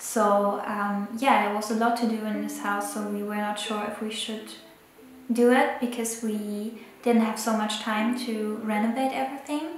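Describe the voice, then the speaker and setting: With light background noise and audible room echo, a woman speaks at a fairly high pitch and moderate pace in a monotone, flat intonation. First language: not English. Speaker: photographer and illustrator. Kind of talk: casual talk to camera. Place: home room.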